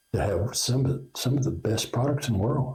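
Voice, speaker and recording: With an Oklahoma accent, a man talks in a dark, mellow tone that is somewhat breathy, with ordinary pitch variation. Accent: Oklahoma rural Southern US. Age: 60s. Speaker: inventor and company founder. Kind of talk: interview.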